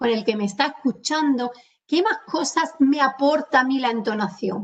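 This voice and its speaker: Speaking at a fairly slow pace, a woman with an Andalusian accent uses a high pitch and very wide pitch swings. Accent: Andalusian, drops s sounds. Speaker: communication trainer. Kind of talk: webinar lecture. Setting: video call webinar. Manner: animated.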